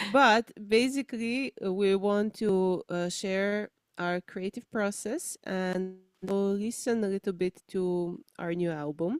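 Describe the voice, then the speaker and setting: A woman with a Slovenian accent at a very slow pace, in a dry, close sound with no echo, with music in the background. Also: medium pitch for a woman, ordinary pitch variation. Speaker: musician. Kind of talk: casual chat.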